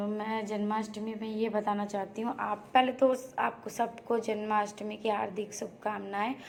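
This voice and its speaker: A woman's monotone, flat intonation at a fairly high pitch and very slow pace, over noticeable background noise. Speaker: family vlogger. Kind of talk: cooking vlog. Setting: home kitchen. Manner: casual, hesitant fillers.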